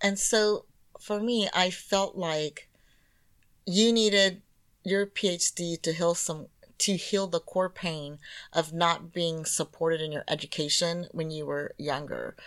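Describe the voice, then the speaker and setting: In an American accent, a woman with an ordinary speaking voice and a fairly low pitch talks fairly slowly with fairly even intonation. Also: very clean recording, silent background. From California. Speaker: podcast co-host and therapist. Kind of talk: casual chat.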